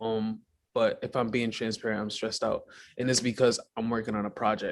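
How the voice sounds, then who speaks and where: A man with a New York accent at medium pitch and a moderate pace, against a quiet background. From Brooklyn, New York (early childhood in Guyana). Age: 20s. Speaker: filmmaker and mental health advocate. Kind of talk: casual interview.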